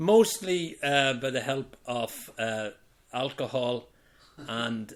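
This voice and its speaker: A man speaks with a Belfast accent. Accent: Belfast Northern Irish. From Northern Ireland, Belfast (Falls Road). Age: 60s. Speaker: retiree being interviewed by family. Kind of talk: casual interview over wine.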